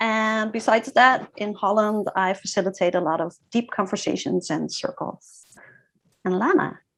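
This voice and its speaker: On a very clean recording with a silent background, a woman speaks at a moderate pace with a Dutch accent. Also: medium pitch for a woman, ordinary pitch variation. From Groningen, Netherlands. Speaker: facilitator and ritual designer. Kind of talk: self-introduction.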